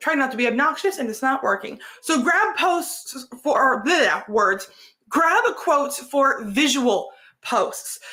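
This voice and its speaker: The voice is raised and projected. Its pitch swings very widely. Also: woman, high pitch for a woman, fairly slow pace. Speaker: content creation coach. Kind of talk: live stream tutorial. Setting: live stream.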